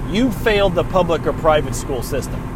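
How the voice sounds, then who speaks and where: Someone speaks at a fairly quick pace with ordinary pitch variation, amid noticeable background noise and audible room echo. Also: man. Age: 30s. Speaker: podcast host. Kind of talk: solo rant monologue. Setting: in a car.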